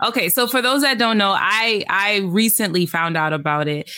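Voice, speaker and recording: A woman talks with a New York accent. Her tone is bright and sharp, with lively intonation. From New York, the Bronx. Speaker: podcast host. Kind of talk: casual chat.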